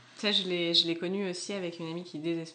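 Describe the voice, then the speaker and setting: A woman's fairly low, bright, sharp voice at a fairly slow pace. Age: 20s. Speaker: tattoo artist. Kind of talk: casual chat.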